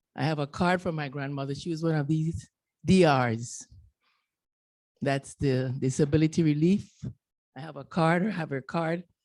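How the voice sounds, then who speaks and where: A woman's very deep, low voice, dark and mellow in tone, with a Panamanian Caribbean accent, a moderate pace and ordinary pitch variation. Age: 70s. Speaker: retired canal worker, audience member. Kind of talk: audience comment at panel discussion.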